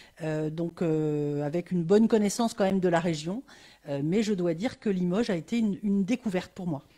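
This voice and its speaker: A woman speaks with a fairly low pitch in a dark, mellow tone. Her pitch varies in an ordinary way on a very clean recording with a silent background. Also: fairly quick pace. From Burgundy, France. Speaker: organisation director. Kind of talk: interview. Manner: hesitant, many fillers.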